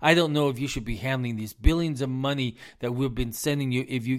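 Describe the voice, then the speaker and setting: A man with an American accent talks at a fairly quick pace, his pitch medium and its variation ordinary. The recording is very clean and the background silent. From US South, South Carolina. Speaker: business advisor and podcast host. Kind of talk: impassioned solo political rant, haranguing world leaders directly like a rally speech. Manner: fiery and accusatory, hammering repetition of 'you're a fool'; emphatic, stumbling repetitions when worked up.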